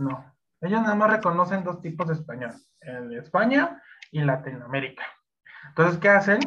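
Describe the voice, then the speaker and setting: Using a high pitch and a bright, sharp tone, a man speaks at a moderate pace with very wide pitch swings, big swings in loudness, and long, frequent pauses. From Mexico. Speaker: Excel instructor. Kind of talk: interview. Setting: live stream. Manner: halting, many fillers.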